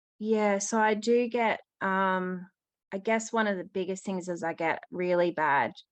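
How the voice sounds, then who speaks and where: A woman with an Australian accent, medium in pitch, fairly even in intonation, at a fairly slow pace over a quiet background. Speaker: caller with eye condition. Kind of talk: question to expert. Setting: call-in. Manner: hesitant, many fillers.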